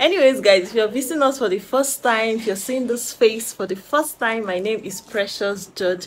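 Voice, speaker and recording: A woman speaks with ordinary pitch variation. There is light background noise. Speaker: vlogger. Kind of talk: casual vlog chat. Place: home room. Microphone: phone near.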